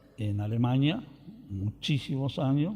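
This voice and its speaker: A man with a Rioplatense accent speaks with lively intonation. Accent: Argentine rioplatense Spanish. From Argentina, rural Buenos Aires province. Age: 70s. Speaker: interviewee, retired farmer. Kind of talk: oral history interview. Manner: hesitant fillers.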